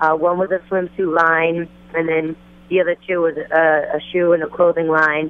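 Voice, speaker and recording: A woman with a New Jersey accent speaks at a fairly low pitch and moderate pace. Her intonation is monotone and flat, her loudness very even. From New Jersey, Passaic County. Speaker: rapper and singer. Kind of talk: phone interview. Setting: phone call, outdoors at fashion event.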